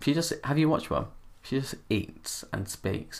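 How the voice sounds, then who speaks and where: A man's voice with lively intonation. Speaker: YouTuber. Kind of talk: casual chat. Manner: camp; animated.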